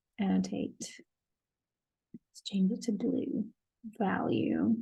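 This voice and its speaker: At a very slow pace, a woman speaks in a dry, close sound with no echo. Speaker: professor. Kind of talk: lecture.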